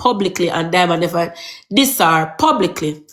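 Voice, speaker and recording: Over noticeable background noise, a woman with a Jamaican accent speaks at a moderate pace with lively intonation. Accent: Jamaican Patois. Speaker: social media gossip reporter. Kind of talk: casual live-stream gossip talk. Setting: TikTok live stream.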